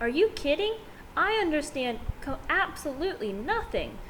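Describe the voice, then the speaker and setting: Over clear background noise, a woman uses a put-on character voice at a moderate pace. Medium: read story. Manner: hurried.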